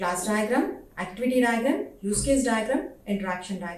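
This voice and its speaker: With an Indian accent, a woman speaks with lively intonation amid audible room echo. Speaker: professor. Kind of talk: lecture.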